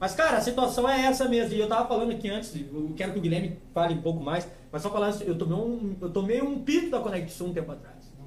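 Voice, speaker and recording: With audible room echo and noticeable background noise, a man talks at a very fast pace with hardly any pauses, his high voice full of lively intonation. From Rio Grande do Sul, Alvorada. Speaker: podcast host. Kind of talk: casual chat. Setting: studio.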